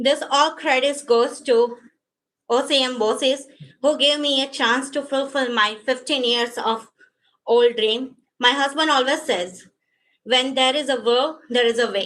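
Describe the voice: Speaking at a fairly slow pace, a woman uses a high pitch and a fairly bright tone with ordinary pitch variation.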